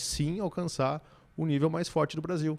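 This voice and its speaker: With a strong Rio Grande do Sul accent, a man talks at a fairly quick pace in a dark, mellow tone. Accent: strong gaúcho interior. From Brazil, Rio Grande do Sul interior (Santiago). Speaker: business consultant and CEO. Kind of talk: podcast interview conversation. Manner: animated.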